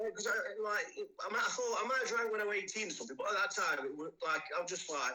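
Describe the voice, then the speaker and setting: Speaking with an East Midlands accent, a man goes at a very fast pace. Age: 40s. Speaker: person in addiction recovery. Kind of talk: interview testimony. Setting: podcast recording. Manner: halting, many fillers.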